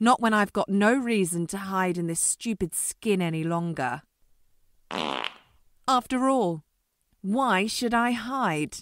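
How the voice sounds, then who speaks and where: A put-on character voice at a middle pitch moves at a fairly slow pace with long, frequent pauses. The recording is very clean, with a silent background. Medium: audio drama. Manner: taunting, gleeful.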